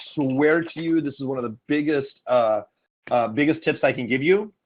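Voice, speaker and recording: A man with a fairly high pitch. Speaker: online marketing coach. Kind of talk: webinar training call. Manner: fast.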